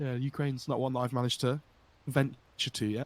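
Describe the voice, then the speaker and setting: Speaking with an English accent at a fairly quick pace, a man comes through in a dry, close sound with no echo. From England. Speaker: esports commentator. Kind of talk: live commentary.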